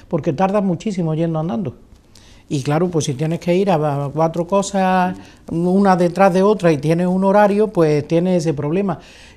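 A woman's dark, mellow tone at a fairly low pitch, with ordinary pitch variation and a moderate pace. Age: 60s. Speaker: retired politician. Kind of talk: interview. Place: hall.

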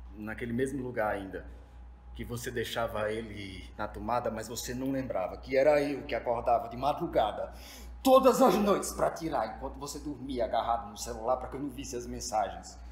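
Room echo is audible as a man talks at a moderate pace with big swings in loudness. Light background noise is present. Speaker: actor performing monologue. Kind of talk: theatrical monologue. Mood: bitter, angry farewell. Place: stage.

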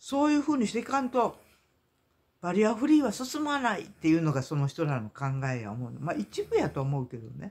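A man with a Kansai accent at a high pitch, fairly quick in pace and with very wide pitch swings, on a very clean recording with a silent background. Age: 60s. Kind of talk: casual monologue vlog. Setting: at home, in pajamas. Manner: halting, many fillers.

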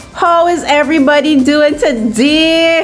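Over light background noise, a woman talks at a very slow pace with a high pitch and ordinary pitch variation. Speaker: vlogger. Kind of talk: casual vlog chat. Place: home room. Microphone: phone near.

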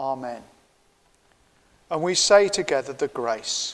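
Lively intonation from a man at a medium pitch and a slow pace

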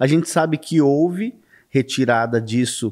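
Against a quiet background, a man with a plain, everyday voice talks at a fairly slow pace with ordinary pitch variation. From São Paulo state, Brazil. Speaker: ufologist; podcast guest. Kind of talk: interview. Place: studio. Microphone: studio mic.

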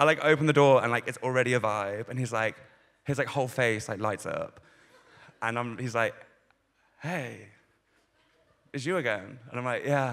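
Speaking at a moderate pace, a man keeps his intonation fairly even and leaves long, frequent pauses. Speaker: stand-up comedian. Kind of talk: stand-up comedy routine. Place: stage. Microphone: handheld.

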